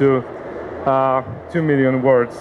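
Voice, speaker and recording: A man talks with a Polish accent at a fairly high pitch. Noticeable background noise runs behind him. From Poland, Warsaw. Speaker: company CEO, conference speaker. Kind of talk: conference presentation. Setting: conference seminar with audience. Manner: halting, many fillers.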